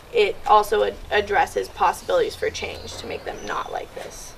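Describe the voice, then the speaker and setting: A woman's voice amid audible room echo and noticeable background noise. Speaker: student presenter. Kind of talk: classroom presentation. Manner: fast; casual, many fillers like 'like' and 'um'.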